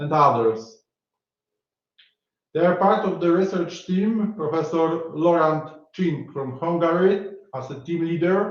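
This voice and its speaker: A man with a Polish accent speaks at a fairly slow pace in a high pitch, with ordinary pitch variation and long, frequent pauses. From Poland. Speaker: academic conference organizer. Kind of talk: formal opening speech. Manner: formal; halting.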